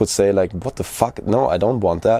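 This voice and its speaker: A man's dark, mellow tone with a German accent. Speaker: video creator. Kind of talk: personal vlog monologue. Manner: halting.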